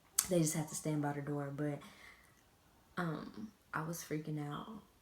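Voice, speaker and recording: Noticeable background noise sits behind a woman's very deep, low voice. She talks at a moderate pace with fairly even intonation. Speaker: beauty and lifestyle vlogger. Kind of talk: casual vlog talk to camera.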